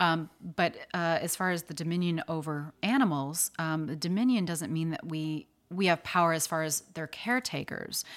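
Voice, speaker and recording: A woman with an American accent speaks in a normal speaking voice, fairly low-pitched, with ordinary pitch variation, on a very clean recording with a silent background. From US Midwest (Chicago). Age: 40s. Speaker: model, actor and animal activist. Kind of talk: casual interview.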